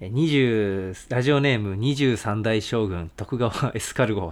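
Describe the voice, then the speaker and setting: Lively intonation marks a man's normal speaking voice, pitched fairly low. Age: 20s. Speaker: band vocalist and guitarist, podcast co-host. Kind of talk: casual chat.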